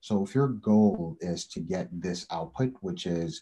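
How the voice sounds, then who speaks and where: This man's voice is very deep and low, with a dark, mellow tone. His intonation is lively. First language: not English. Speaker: head of talent acquisition. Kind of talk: webinar presentation.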